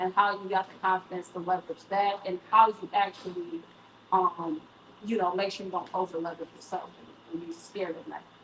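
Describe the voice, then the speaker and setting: Over noticeable background noise, a woman speaks at a fairly quick pace in a medium pitch, her intonation monotone and flat but her loudness swinging widely. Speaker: event moderator. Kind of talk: panel discussion.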